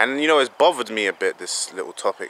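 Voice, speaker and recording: A man talks at a fairly quick pace with a dry, close sound and no echo. Noticeable background noise runs behind him. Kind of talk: opinion monologue to camera. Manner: casual, hesitant, frustrated.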